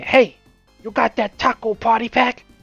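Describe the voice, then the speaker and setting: A put-on character voice speaks at a moderate pace with monotone, flat intonation. Faint music plays in the background. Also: female-sounding voice, fairly high pitch for a woman. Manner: odd, mock-serious.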